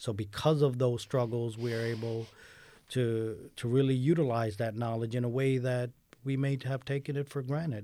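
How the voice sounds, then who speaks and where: With an American accent, a man speaks in a dark, mellow tone and fairly even intonation in a very clean recording over a silent background. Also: medium pitch for a man, moderate pace. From New York City. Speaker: newspaper editor and educator. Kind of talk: radio interview. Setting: radio studio.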